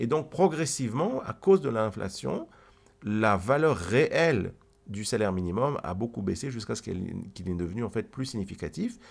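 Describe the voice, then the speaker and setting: This man's pitch swings very widely as he talks at a moderate pace. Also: medium pitch for a man. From Switzerland, Geneva. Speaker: economics podcast co-host. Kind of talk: explanatory conversation. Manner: halting, frequent repetitions.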